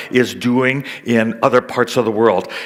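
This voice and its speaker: The speaker is a man with a Canadian accent. There is noticeable background noise. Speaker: missionary. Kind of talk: seminar talk.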